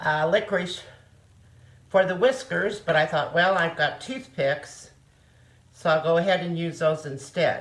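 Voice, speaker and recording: A woman speaks with a Missouri accent, her voice somewhat breathy and fairly low in pitch. Her pitch varies in an ordinary way. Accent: Midwestern American (Missouri). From Osage County, Missouri. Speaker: retired nurse. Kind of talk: home cooking demonstration. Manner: casual, homely.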